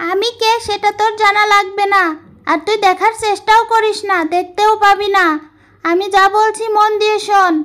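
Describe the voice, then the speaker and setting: In a cartoonish character voice, a female-sounding speaker talks at a moderate pace with an extremely high pitch and flat, monotone intonation. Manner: gruff, bossy.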